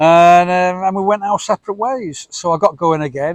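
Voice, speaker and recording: A man with a high voice speaks at a fairly quick pace, and the sound is dry and close with no echo. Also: quiet background. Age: 60s. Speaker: motorcycle travel vlogger. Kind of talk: travel vlog monologue. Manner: hesitant with frequent ums.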